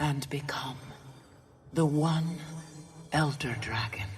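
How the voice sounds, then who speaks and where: This is a put-on character voice at a low-to-middle pitch. It moves at a fairly slow pace. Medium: video game.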